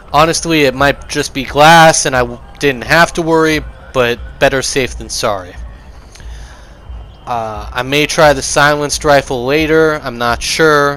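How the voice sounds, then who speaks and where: With music playing behind him, a man speaks fairly slowly at a fairly high pitch and with fairly even intonation. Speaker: gaming video creator. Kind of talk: gameplay commentary. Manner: casual with frequent fillers.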